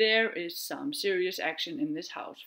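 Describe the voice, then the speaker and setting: A woman with an Icelandic accent and very wide pitch swings, on a very clean recording with a silent background. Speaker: knitting podcaster and veterinarian. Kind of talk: casual chat. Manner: chatty, hesitant with fillers.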